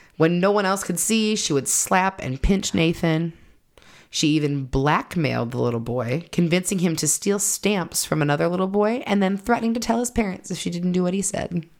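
A woman speaks in an ordinary speaking voice at a moderate pace with a fairly low pitch and lively intonation. The recording is very clean, with a silent background. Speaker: podcast host. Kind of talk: true-crime narration, telling the case story to co-hosts. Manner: storytelling, conversational; earnest, apologetic.

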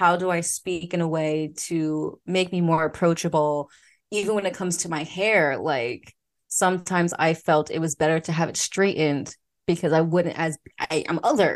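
A woman speaks in a normal speaking voice with an American accent. Her intonation stays fairly even over a quiet background. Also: fairly low pitch for a woman, moderate pace. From Philadelphia, US. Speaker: podcast host, former teacher in Korea. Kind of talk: casual interview chat.

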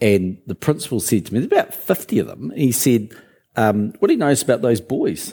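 Pitched in the medium range, a man with a New Zealand accent talks at a fairly quick pace with a dark, mellow tone and lively intonation. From New Zealand, Christchurch. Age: 60s. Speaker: business leader. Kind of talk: interview on stage.

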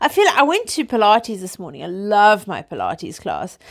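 A woman with a South African accent speaks at a moderate pace. The recording is very clean, with a silent background. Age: 30s. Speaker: podcast host. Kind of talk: casual chat. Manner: informal, chatty.

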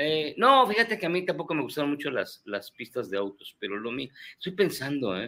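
A man speaks fairly quickly in a fairly high, bright, sharp voice with vocal fry. His pitch swings very widely. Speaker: podcast guest. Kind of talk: casual chat.

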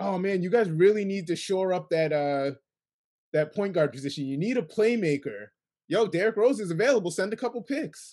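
This man's voice is high-pitched, with lively intonation, an American accent and a fairly quick pace. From New York State, Kingston. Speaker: sports podcast host. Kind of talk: casual chat.

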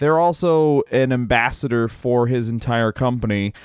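In a normal speaking voice, a man at medium pitch talks at a moderate pace with ordinary pitch variation, recorded very cleanly against a silent background. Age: 30s. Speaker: comedian podcast co-host. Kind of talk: casual chat.

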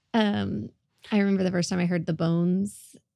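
A woman in a Southern US accent, fairly low-pitched and fairly quick, with lively intonation in a dry, close sound with no echo. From Northwest Oklahoma. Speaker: podcast host. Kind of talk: casual interview.

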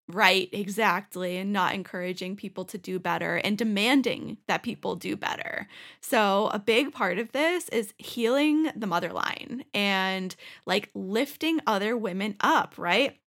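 A woman's medium-pitched voice with vocal fry, fairly slow and animated, on a very clean recording with a silent background. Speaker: podcast host. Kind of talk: casual chat.

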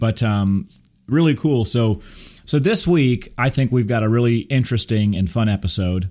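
A man with an American accent talks at a moderate pace and medium pitch. His tone is dark and mellow, with lively intonation and very even loudness. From Texas. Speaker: podcast host. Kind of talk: casual chat.

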